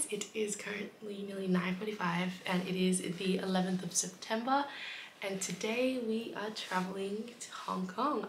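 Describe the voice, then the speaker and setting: Fairly slow pace and fairly even intonation over light background noise. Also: woman. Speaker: travel vlogger. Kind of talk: casual vlog chat. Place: home room. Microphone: phone near.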